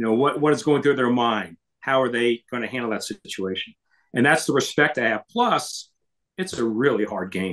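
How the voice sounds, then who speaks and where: A man with an American accent talks at a moderate pace and medium pitch, using a plain, everyday voice with ordinary pitch variation. The sound is dry and close, with no echo. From Florida (Orlando). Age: 60s. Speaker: baseball radio broadcaster. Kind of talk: podcast interview.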